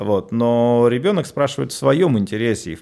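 In a very clean recording with a silent background, a man uses an ordinary speaking voice at a medium pitch, moving at a moderate pace with lively intonation. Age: 40s. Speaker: psychologist and tantra workshop leader. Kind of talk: radio interview.

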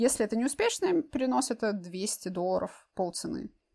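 Using lively intonation, a woman with a fairly high pitch talks at a fairly quick pace. Her tone is dark and mellow. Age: young. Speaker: intended parent using IVF. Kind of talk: interview.

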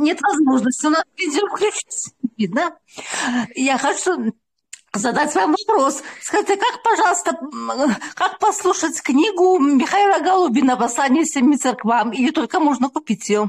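Dry and close with no echo, a woman's voice sits high in pitch, swinging very widely in pitch at a fairly slow pace, with very even loudness. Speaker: listener. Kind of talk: casual chat. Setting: video call.

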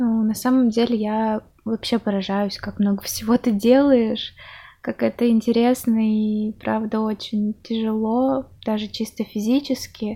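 A woman speaks at a fairly slow pace with a fairly high pitch, a dark, mellow tone, somewhat breathy delivery and monotone, flat intonation, in a very clean recording with a silent background. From Russia, Chelyabinsk. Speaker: podcast host. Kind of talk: interview.

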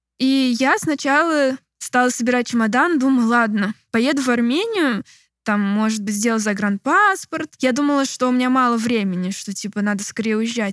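This woman has a high voice and speaks at a moderate pace with ordinary pitch variation, recorded very cleanly against a silent background with a dry, close sound and no echo. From Moscow, Russia. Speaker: political activist. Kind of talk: interview. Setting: rented apartment, non-studio.

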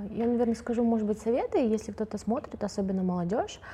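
A woman's dark, mellow, somewhat breathy voice at a fairly quick pace. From Kazakhstan. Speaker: journalist and activist. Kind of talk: casual panel discussion.

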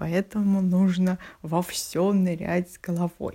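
Somewhat breathy and at medium pitch, a woman's voice comes through a very clean recording with a silent background. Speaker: theatre designer. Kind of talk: recorded monologue answering questions.

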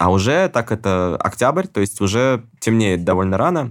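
Here a man talks with lively intonation. The recording is very clean, with a silent background. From Russia. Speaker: musician and traveler. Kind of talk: casual interview storytelling. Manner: animated.

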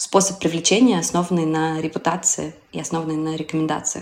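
This woman's voice is very deep and low. She keeps a moderate pace. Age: 30s. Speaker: singer-songwriter, former marketer. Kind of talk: interview.

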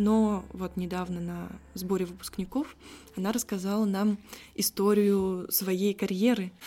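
This woman's voice has a dark, mellow tone at a medium pitch. She talks at a fairly slow pace with monotone, flat intonation. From Russia, Saratov. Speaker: philology graduate. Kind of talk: casual interview.

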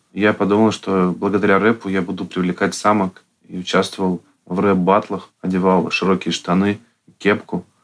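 Monotone, flat delivery at a moderate pace. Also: man, very deep, low pitch for a man. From Russia, Yekaterinburg. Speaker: artist and meme channel creator. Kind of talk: casual interview.

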